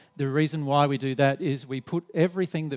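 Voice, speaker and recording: Medium-pitched male speech in an Australian accent. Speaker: spiritual teacher. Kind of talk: seminar presentation. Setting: hall with live audience, recorded on camera. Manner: drops the endings off words; halting, many fillers and restarts.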